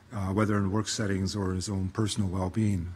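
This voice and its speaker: A man talks fairly quickly with fairly even intonation in a somewhat breathy voice. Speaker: conference host. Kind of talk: event opening remarks. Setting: conference room with audience, livestreamed. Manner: halting, many fillers.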